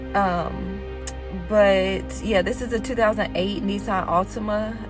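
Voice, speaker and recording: A woman speaks over music playing in the background. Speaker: DIY car hobbyist. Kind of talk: casual talk to camera. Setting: outdoors.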